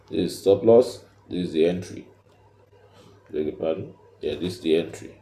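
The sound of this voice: Low-pitched, a man speaks with a dark, mellow tone. Room echo can be heard.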